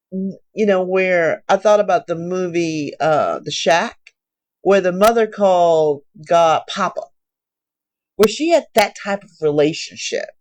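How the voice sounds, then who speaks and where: Fairly slow, a woman talks in a normal speaking voice. Her pitch is medium with ordinary pitch variation. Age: 60s. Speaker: Bible reading vlogger. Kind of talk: Bible reading with commentary. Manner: casual, conversational.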